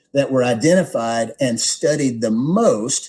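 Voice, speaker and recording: Lively intonation runs through a man's dark, mellow, somewhat breathy tone as he talks at a fairly slow pace. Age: 50s. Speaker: product presenter, wellness company executive. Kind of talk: product overview presentation. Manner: repetitive fillers, casual conversational delivery.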